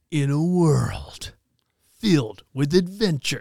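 A put-on character voice at a middle pitch. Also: fairly slow pace. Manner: dramatic announcer.

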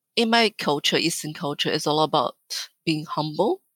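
A woman with a very deep, low voice speaks at a moderate pace with ordinary pitch variation. The sound is dry and close with no echo, on a very clean recording with a silent background. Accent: Chinese. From northern China. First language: Mandarin Chinese. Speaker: business executive. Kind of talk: interview.

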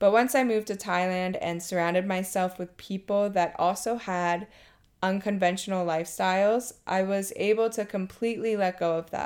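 Captured in a very clean recording with a silent background, a woman with a medium pitch speaks at a moderate pace with fairly even intonation. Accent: Mid-Atlantic American. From Maryland. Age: 30s. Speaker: teacher. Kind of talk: personal testimony.

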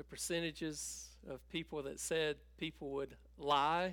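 The speaker talks at a fairly slow pace in a North Carolina accent. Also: man. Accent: Southern US (North Carolina). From US South, North Carolina (Tabor City). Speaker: pastor. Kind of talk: sermon.

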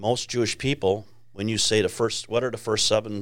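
A man speaks at a fairly low pitch with a Chicago accent. His intonation stays fairly even. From Chicago, US Midwest. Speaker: ministry founder. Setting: studio.

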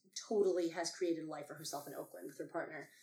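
This is a woman speaking. Her voice sits at a fairly low pitch. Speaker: actor and performer. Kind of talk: casual chat. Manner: animated.

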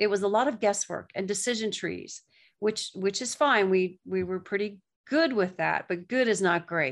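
A woman with a Southern US accent speaks at medium pitch and a moderate pace, with ordinary pitch variation and a quiet background. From US South, Gulf Coast of Florida. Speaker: therapist and author. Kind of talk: interview.

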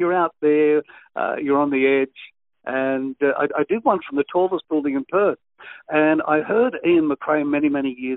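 A man's fairly high voice in an Australian accent, with lively intonation. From western Sydney, Australia. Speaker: veteran radio presenter. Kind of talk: interview.

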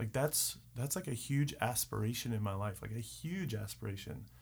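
A man with an American accent talks at a moderate pace and medium pitch. He has a plain, everyday voice. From Richmond, Virginia. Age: 30s. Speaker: real estate worker. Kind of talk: casual chat.

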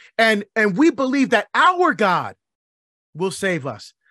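Raised and projected, a man's high-pitched voice sounds animated and energetic, bright and sharp in tone, with very wide pitch swings and a dry, close sound with no echo. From Barbados. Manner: animated, rising call-and-response rhythm with hammering repeated questions.

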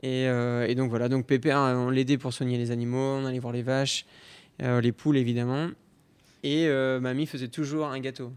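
The man's pitch is medium, and his pace is moderate. His intonation stays monotone and flat. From Normandy, France (Caen area). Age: 30s. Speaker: pastry chef. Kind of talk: interview. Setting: empty restaurant dining room.

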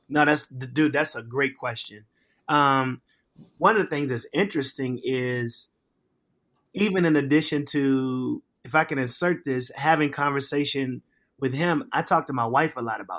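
A man's fairly high, normal speaking voice at a moderate pace, with ordinary pitch variation and big swings in loudness. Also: very clean recording, silent background. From Virginia, Richmond. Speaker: pastor. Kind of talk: casual chat.

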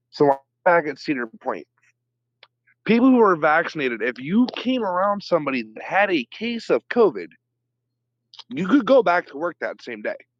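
A man with an American accent at a moderate pace, with very wide pitch swings, big swings in loudness and long, frequent pauses, in a dry, close sound with no echo over a quiet background. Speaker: podcast guest. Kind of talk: casual chat. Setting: video call.

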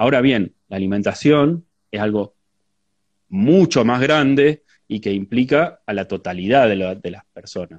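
A man's voice at medium pitch, an ordinary speaking voice, with lively intonation, big swings in loudness and a fairly slow pace, over a quiet background in a dry, close sound with no echo. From Argentina, La Pampa province. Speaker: agronomist and researcher. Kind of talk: live interview conversation. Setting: Instagram live stream.

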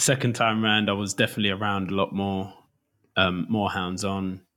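A very clean recording with a silent background carries a bright, sharp tone and fairly even intonation. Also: man. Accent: East London. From East London. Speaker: DJ. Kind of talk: casual chat.

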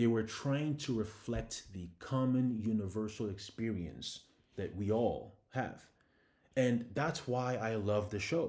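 Amid audible room echo, a man with a medium pitch speaks at a very slow pace with ordinary pitch variation. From Ghana. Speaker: podcast host. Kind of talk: monologue commentary.

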